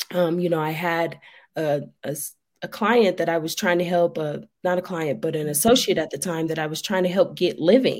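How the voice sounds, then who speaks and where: With a normal speaking voice, a woman with an American accent talks at a moderate pace and medium pitch on a very clean recording with a silent background. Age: 30s. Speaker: addiction recovery advocate. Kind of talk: interview.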